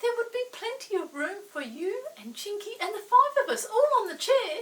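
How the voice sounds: A put-on character voice with big pitch swings, a fairly bright tone and a moderate pace. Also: woman, extremely high pitch for a woman.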